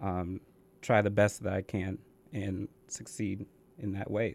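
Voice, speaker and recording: A man with an American accent speaks in a dark, mellow tone at a fairly low pitch on a very clean recording with a silent background. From Connecticut. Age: 20s. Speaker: college student. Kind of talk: interview. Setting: studio.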